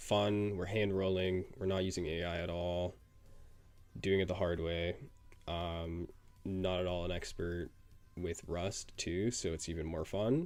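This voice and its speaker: Speech at a fairly slow pace comes with ordinary pitch variation and long, frequent pauses. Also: man. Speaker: live streamer coding. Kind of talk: casual live stream chat. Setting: live stream. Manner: casual, filler-heavy.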